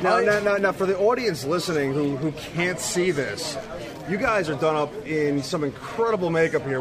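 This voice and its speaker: A man with fairly high pitch talks at a moderate pace with lively intonation. Room echo is audible, along with noticeable background noise. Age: 30s. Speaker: podcast host. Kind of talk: convention interview. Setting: game convention floor.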